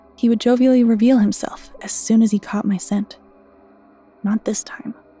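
Against music in the background, a woman speaks at a moderate pace with monotone, flat intonation in a dry sound with no echo. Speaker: story narrator. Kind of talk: storytelling narration.

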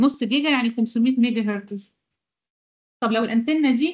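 A woman talks fairly quickly with ordinary pitch variation against a quiet background. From Egypt. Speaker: university lecturer. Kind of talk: online lecture. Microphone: video call.

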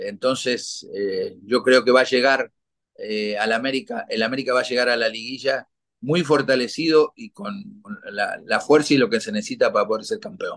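Over a quiet background, a man speaks at a moderate pace with big swings in loudness. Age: 60s. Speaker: retired football goalkeeper; guest. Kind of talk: interview. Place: home room. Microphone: video call.

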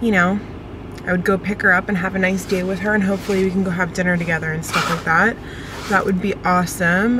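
Noticeable background noise sits behind a woman's voice. The sound is dry with no echo, and her intonation is monotone and flat. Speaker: vlogger. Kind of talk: casual vlog chat. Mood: cheerful, slightly self-conscious. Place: car.

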